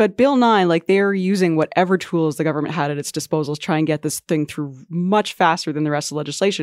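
In a very clean recording with a silent background and a dry, close sound with no echo, a woman with an ordinary speaking voice and fairly low pitch talks at a fairly quick pace with ordinary pitch variation. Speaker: education reporter. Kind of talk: casual panel discussion.

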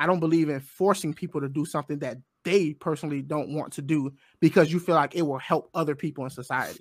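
Fairly quick man's speech at a fairly high pitch, an ordinary speaking voice with ordinary pitch variation, very clean recording, silent background, and dry, close sound with no echo. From US, grew up in urban housing projects. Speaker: conservative political podcaster. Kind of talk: debate.

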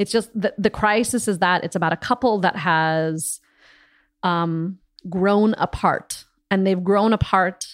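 A woman with an American accent speaks at a medium pitch and a fairly slow pace, her intonation lively, on a very clean recording with a silent background. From US Midwest, Des Moines, Iowa. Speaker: opera singer. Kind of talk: casual chat.

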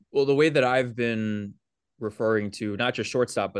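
Over a quiet background, a man with a fairly low pitch speaks at a moderate pace. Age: 20s. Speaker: baseball beat reporter. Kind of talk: casual chat.

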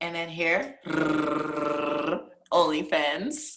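An animated voice with an American accent carries audible room echo. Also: woman. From Virginia. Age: 20s. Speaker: adult film performer. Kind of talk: casual chat.

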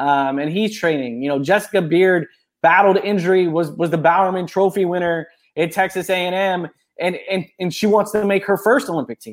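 A high-pitched man speaks with an American accent at a fairly quick pace. His pitch variation is ordinary. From Florida. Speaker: sports journalist. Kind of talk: casual interview. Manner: halting, many repeated words.

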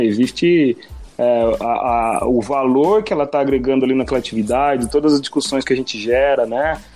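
Music sits in the background while the talking moves at a moderate pace. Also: man. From Brazil, Piedade (São Paulo state). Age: 30s. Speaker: project management engineer. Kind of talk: casual chat.

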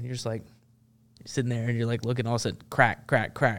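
A man at medium pitch with a Tennessee accent, on a very clean recording with a silent background. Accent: Southern US (Tennessee). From Memphis, Tennessee. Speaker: Marine veteran and activist. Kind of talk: casual interview conversation.

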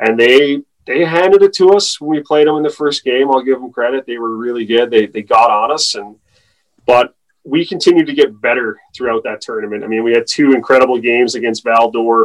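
A man with a plain, everyday voice at medium pitch and a fairly quick pace, with ordinary pitch variation and a dry, close sound with no echo. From Newfoundland, Canada. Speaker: athletic therapist for a hockey team. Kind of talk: casual interview.

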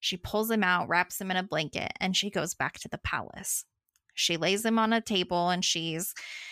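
Little noise sits behind a natural reading voice.

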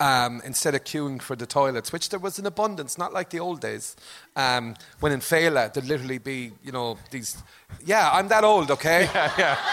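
Bright and sharp in tone, the voice comes with a Limerick accent and lively intonation on a very clean recording with a silent background. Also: man, fairly high pitch for a man, moderate pace. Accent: Limerick Irish. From Limerick, Ireland. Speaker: comedian. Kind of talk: live comedy podcast chat. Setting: stage with live audience.

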